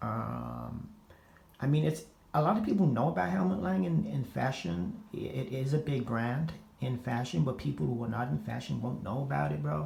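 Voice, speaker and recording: Audible room echo follows a man with an American accent and a medium pitch who makes very wide pitch swings at a moderate pace. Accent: American twang. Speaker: fashion and gaming vlogger. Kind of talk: casual vlog. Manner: halting, many repetitions and filler words; casual slangy delivery.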